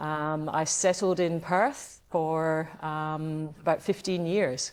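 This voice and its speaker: A woman speaks at a very slow pace with a very deep, low pitch. The recording is very clean, with a silent background. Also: fairly even intonation. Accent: strong Scottish. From Scotland, west coast. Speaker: yacht club past commodore. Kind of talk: interview. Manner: hesitant, many fillers.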